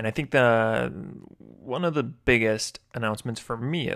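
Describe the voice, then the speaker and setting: A man speaks fairly slowly at a medium pitch, with ordinary pitch variation. The recording is very clean, the background silent. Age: 20s. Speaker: podcast host. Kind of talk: motivational monologue. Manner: animated.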